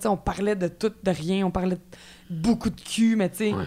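A woman with a Quebec accent at a very fast pace. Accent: Québécois French. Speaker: actress. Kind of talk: casual chat.

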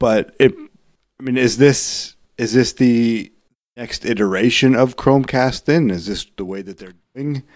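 With big swings in loudness, a man talks fairly slowly at medium pitch with ordinary pitch variation in an unremarkable speaking voice. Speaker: podcast co-host. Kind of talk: casual chat.

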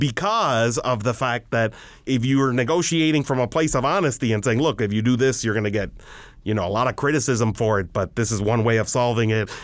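A man speaks at a fairly quick pace in a normal speaking voice, his pitch medium with ordinary variation. His loudness stays very even. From Miami, Florida. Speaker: immigration attorney. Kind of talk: interview.

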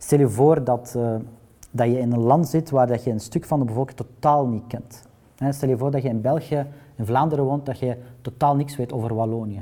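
His pitch sits in the medium range and varies in an ordinary way. The man's tone is dark and mellow. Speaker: journalist at public broadcaster news desk. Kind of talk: panel discussion. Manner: halting.

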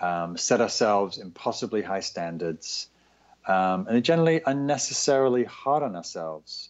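A man with a medium-pitched voice speaks with very wide swings in pitch. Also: moderate pace. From northern England. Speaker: meditation teacher and author. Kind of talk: interview. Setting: Skype call.

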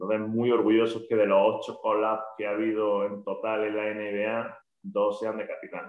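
A man with an Andalusian accent at a moderate pace, hardly any pauses. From Andalusia, Spain. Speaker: basketball coach. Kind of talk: podcast interview.

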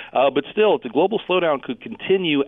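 A male voice, very fast in pace. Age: 40s. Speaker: market strategist. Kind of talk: interview conversation.

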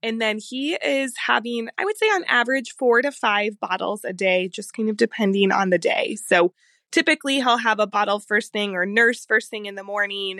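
An ordinary speaking voice moves at a moderate pace with hardly any pauses and ordinary pitch variation. The background is quiet, and the sound is dry and close with no echo. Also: woman, fairly high pitch for a woman. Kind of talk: voice message.

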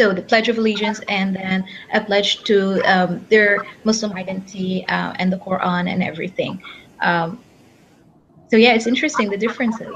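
Her intonation stays fairly even. The woman sounds somewhat breathy. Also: medium pitch for a woman, moderate pace. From Egypt. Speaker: PhD student. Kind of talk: panel discussion. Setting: video call.

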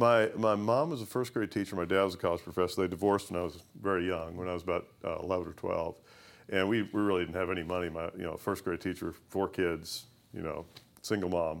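A man with a very deep, low voice and an American accent, fairly even intonation, a very fast pace, and a very clean recording over a silent background. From US South, western Kentucky (Owensboro). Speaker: company CEO. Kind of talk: interview. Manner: halting, many restarts.

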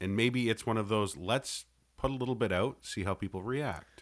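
On a very clean recording with a silent background, a man with an unremarkable speaking voice and a Canadian accent talks with lively intonation. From Canada. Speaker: podcaster and co-host. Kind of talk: casual chat.

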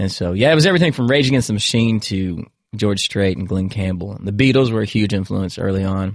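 With an American accent, a man talks at a fairly quick pace with fairly low pitch and ordinary pitch variation against a quiet background. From Virginia. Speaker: country singer. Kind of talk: casual chat. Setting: studio. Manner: animated.

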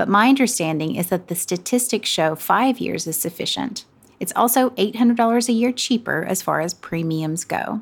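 With a Southern US accent, a woman speaks at a moderate pace in a fairly high voice with lively intonation. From US South. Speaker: podcast co-host. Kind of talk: casual chat and reading listener questions.

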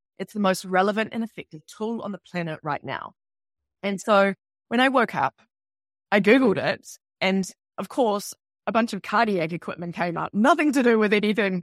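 At a fairly quick pace and with ordinary pitch variation, the voice sounds dry and close with no echo in a very clean recording with a silent background. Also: woman. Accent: New Zealand. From New Zealand. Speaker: author and spiritual guide. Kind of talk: casual interview.

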